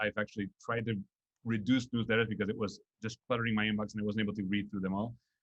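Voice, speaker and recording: A man speaks in a Spanish accent at a very fast pace. His fairly low voice stays monotone, with flat intonation. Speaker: nonprofit executive. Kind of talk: interview. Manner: halting, many fillers and repetitions.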